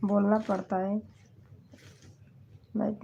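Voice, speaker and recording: A woman's somewhat breathy, medium-pitched voice with a dark, mellow tone and a monotone, flat intonation. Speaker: comedy video creator. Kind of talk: casual chat. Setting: livestream.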